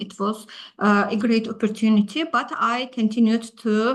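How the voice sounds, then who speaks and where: A woman speaks at a fairly slow pace. Her voice is somewhat breathy and fairly high in pitch. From Azerbaijan. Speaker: HR specialist. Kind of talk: presentation. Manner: halting, many filler sounds.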